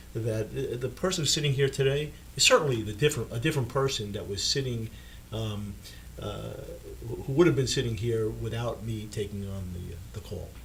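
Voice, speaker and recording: A man talks at a fairly quick pace and medium pitch, with vocal fry, lively intonation and big swings in loudness, in a room with audible echo. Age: 70s. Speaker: dentist and author. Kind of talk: interview. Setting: studio. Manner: halting, many fillers and repeats.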